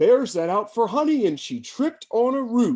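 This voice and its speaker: Using a put-on character voice, a man speaks. His pitch is extremely high. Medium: read story. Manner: fussy, tattling.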